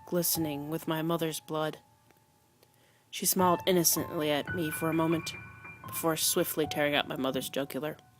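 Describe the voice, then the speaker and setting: Music plays in the background as a woman speaks at a moderate pace. Her pitch is very deep and low, and her intonation is fairly even. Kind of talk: read story. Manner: monotone. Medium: read story.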